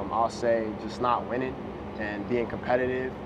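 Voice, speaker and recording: A man with an American accent, medium pitch, monotone and flat, at a moderate pace, with noticeable background noise and audible room echo. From Las Vegas, US. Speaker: basketball draft prospect. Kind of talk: interview.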